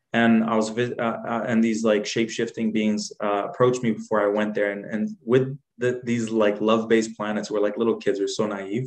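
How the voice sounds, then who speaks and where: With hardly any pauses, a man talks at a medium pitch and moderate pace in monotone, flat intonation. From Jordan, raised in Dubai, then Canada. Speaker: guest, healer, poet and musician. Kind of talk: casual interview chat.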